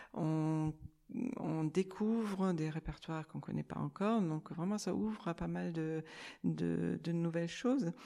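A woman's very deep, low voice with a dark, mellow tone, ordinary pitch variation and a fairly slow pace. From Germany. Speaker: amateur recorder player. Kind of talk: group discussion. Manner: halting.

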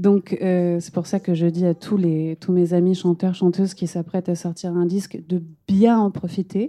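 A woman's fairly low, dark, mellow voice in a monotone, flat intonation at a fairly slow pace, dry and close with no echo against a quiet background. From France, Lyon. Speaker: singer-songwriter. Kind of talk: public panel conversation. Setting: stage with live audience.

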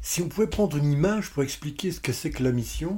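The voice has a dark, mellow tone and is somewhat breathy. Its pitch varies in an ordinary way. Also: man. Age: 60s. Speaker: podcast host, personal development coach. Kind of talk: solo podcast talk. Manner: warm, smiling.

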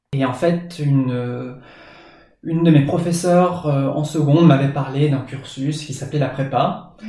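There is audible room echo around a man's voice. He speaks at a fairly high pitch with fairly even intonation. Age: 20s. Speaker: teacher and graduate student. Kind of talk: interview.

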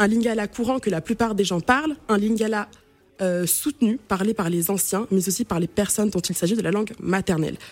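A woman's plain, everyday voice, fairly high in pitch, with lively intonation at a moderate pace. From Cameroon. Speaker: radio columnist on African languages. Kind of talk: radio chronicle.

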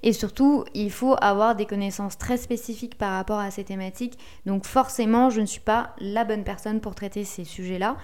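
A moderate pace and fairly even intonation in a very clean recording with a silent background. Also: woman, fairly high pitch for a woman. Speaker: podcast host and SEO consultant. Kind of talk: solo podcast tutorial. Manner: relaxed, conversational.

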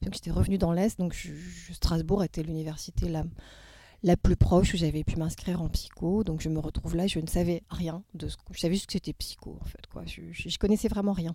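Flat and monotone, a woman's voice with vocal fry and a dark, mellow tone swings widely in loudness. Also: fairly low pitch for a woman. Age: 50s. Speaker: poet and clinical psychologist. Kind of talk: casual interview. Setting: theatre venue. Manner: halting.

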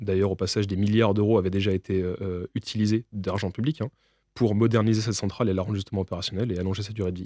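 A man talks at a very fast pace and a fairly low pitch, with a dark, mellow tone and monotone, flat intonation, in a dry, close sound with no echo on a very clean recording with a silent background. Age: 20s. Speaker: nuclear engineer. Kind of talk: interview.

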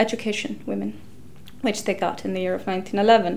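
A woman is speaking. She has an Icelandic accent. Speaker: historian. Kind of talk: interview.

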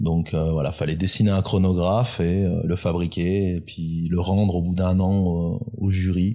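Recorded very cleanly against a silent background, a man talks at a fairly slow pace in a very deep, low pitch, his loudness very even and his intonation flat and monotone. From France, Grenoble area (Alps). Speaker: independent watchmaker. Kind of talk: interview. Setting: workshop. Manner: halting.

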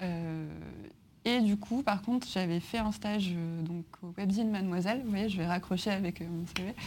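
Her voice is somewhat breathy, and this woman uses ordinary pitch variation. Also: medium pitch for a woman, moderate pace. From France, Grenoble. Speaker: music journalist. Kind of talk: interview in front of a live audience.

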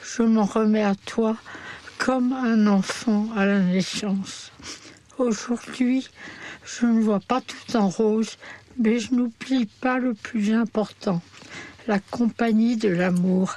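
A woman speaks very slowly at a fairly high pitch, with long, frequent pauses, very even loudness and fairly even intonation. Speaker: terminally ill woman. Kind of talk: reading aloud a personal testimony.

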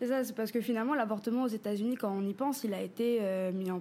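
Her tone is dark and mellow, her pitch fairly high, and this woman keeps a fairly quick pace with fairly even intonation. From French Polynesia, Papara (Tahiti west coast). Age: 20s. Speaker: feminist artist and activist. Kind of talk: interview.

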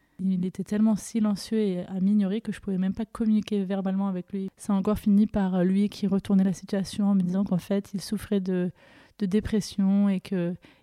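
A woman speaks in a monotone with flat intonation, her tone dark and mellow, and the sound is dry and close with no echo. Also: very clean recording, silent background. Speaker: podcast host sharing her story. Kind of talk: personal testimony. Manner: emotional, voice tone shifting.

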